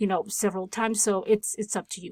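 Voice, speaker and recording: A woman speaks with monotone, flat intonation. The sound is dry and close with no echo, on a very clean recording with a silent background. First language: not English. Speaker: tech tutorial creator. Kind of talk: tutorial. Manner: casual, with filler words.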